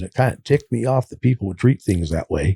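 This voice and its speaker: A man speaks at a very fast pace in a medium pitch, somewhat breathy, with a dark, mellow tone. The sound is dry and close, with no echo. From California. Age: 60s. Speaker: recovering addict. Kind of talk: interview testimony.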